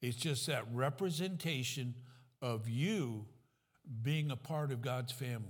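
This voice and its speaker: The voice is somewhat breathy and moves at a fairly slow pace with ordinary pitch variation. Audible room echo surrounds it. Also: man, medium pitch for a man. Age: 70s. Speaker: pastor. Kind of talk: sermon.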